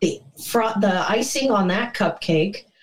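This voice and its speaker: A woman with a plain, everyday voice, at a fairly slow pace with ordinary pitch variation. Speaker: fan fiction writer. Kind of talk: casual chat.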